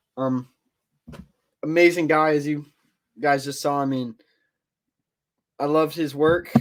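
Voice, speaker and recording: This man's voice sits fairly high. Fairly even intonation runs through his delivery. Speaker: podcast host. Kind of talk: casual podcast outro with screen share. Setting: webcam video call. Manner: halting, many fillers.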